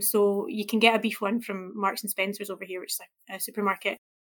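A woman with a Scottish accent at medium pitch and moderate pace, fairly even in intonation, on a very clean recording with a silent background. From Scotland. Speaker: food journalist. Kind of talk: interview. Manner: hesitant, many fillers.

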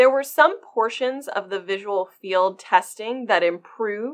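This woman has a normal speaking voice with an American accent, talking at a moderate pace with ordinary pitch variation. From US, Maryland. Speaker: glaucoma fellow ophthalmologist. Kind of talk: medical podcast interview.

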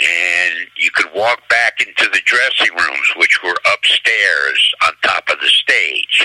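A man with an American accent at a fairly slow pace, in a dry, close sound with no echo, over noticeable background noise. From New Jersey. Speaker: booking agency executive. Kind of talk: interview.

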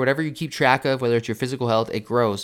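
A man with an energetic tone at a very fast pace, on a very clean recording with a silent background. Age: 20s. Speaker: motivational podcast host. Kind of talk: solo motivational podcast monologue. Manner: casual and energetic.

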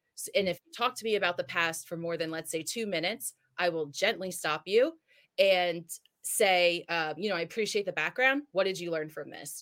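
Delivered at a moderate pace with an American accent, a plain, everyday voice shows ordinary pitch variation and big swings in loudness. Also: woman, fairly low pitch for a woman. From New Jersey. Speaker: health and wellness coach. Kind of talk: interview. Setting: remote call.

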